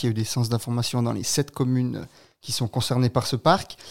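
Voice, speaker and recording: A man speaks in a normal speaking voice at a medium pitch and a moderate pace. The recording is very clean, with a silent background. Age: 20s. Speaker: local election candidate, student. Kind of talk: radio interview. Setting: studio.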